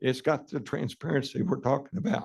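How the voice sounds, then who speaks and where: The voice shows vocal fry and very wide pitch swings. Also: man. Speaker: utility commissioner. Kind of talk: public meeting debate. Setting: meeting hall with public. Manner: halting, many fillers.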